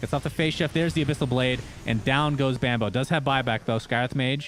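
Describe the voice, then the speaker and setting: An animated tone at a very fast pace, with very even loudness and ordinary pitch variation. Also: man, medium pitch for a man. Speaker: esports caster. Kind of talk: live commentary.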